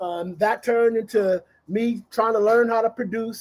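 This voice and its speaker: Speaking at a moderate pace with an American accent, a man uses a high pitch and fairly even intonation, the sound dry and close with no echo. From Los Angeles, US. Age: 50s. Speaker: DJ and music producer. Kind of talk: casual chat.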